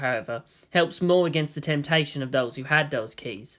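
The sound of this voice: Low-pitched for a woman, her voice moves at a fairly quick pace with ordinary pitch variation.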